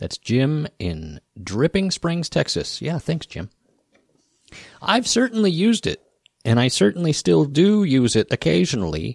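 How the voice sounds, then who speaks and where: A man's relaxed voice with a rural American accent, fairly slow, with very wide pitch swings and a dry, close sound with no echo. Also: fairly high pitch for a man. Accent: rural American, noticeable. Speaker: podcast host and guitar builder and repairman. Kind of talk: solo podcast Q&A, casual chat. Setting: home or studio, morning recording. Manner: relaxed, conversational.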